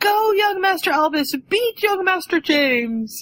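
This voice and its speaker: This put-on character voice is shrill and extremely high-pitched, moving at a fairly slow pace. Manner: screeching, cheering.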